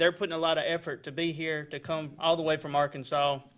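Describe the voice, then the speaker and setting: With an Alabama accent, a man talks at a fairly quick pace in a bright, sharp tone. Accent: Southern US (Alabama). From US South, Alabama (Daviston, Tallapoosa County). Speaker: probate judge. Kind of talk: casual radio interview.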